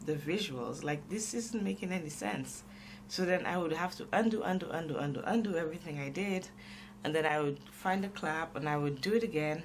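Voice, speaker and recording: Clear background noise is present. The voice moves at a moderate speed. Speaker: novice video creator. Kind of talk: casual vlog talk while doodling. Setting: home desk, recorded with camera and microphone. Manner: halting, many fillers.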